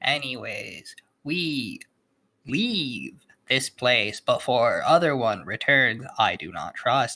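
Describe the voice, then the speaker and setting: In a put-on character voice, the speaker talks at a very slow pace with a low-to-middle pitch. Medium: actual play. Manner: terse broken speech, no contractions.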